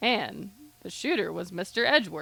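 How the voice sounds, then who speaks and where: A woman puts on a gruff character voice. She speaks at a moderate pace. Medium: game stream. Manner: gruff, calls everyone pal.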